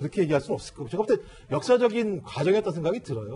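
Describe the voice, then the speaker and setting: With very wide swings in pitch, a man talks in a high voice. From South Korea. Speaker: political commentator. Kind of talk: news panel discussion. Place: studio.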